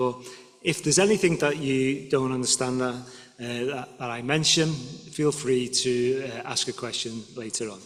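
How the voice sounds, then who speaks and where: A man's mid-pitched voice moves at a moderate tempo, its pitch varying in an ordinary way, while noticeable noise sits behind it. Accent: Liverpool. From northern England, Liverpool. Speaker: guest lecturer. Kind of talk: lecture. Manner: halting.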